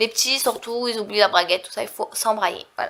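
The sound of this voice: A woman's bright, sharp, nasal voice, fairly quick, with ordinary pitch variation. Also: medium pitch for a woman.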